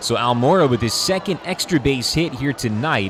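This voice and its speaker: A man talks at a medium pitch with very wide pitch swings. Noticeable background noise is present. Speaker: baseball radio play-by-play announcer. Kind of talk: live sports radio play-by-play. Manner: fast, energetic, descriptive.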